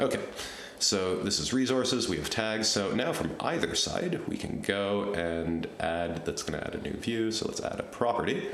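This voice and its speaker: Over light background noise and audible room echo, a man with a fairly low pitch speaks at a moderate pace with lively intonation. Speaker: software tutorial creator. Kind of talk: screen-recorded tutorial. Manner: casual, thinking aloud. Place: home room.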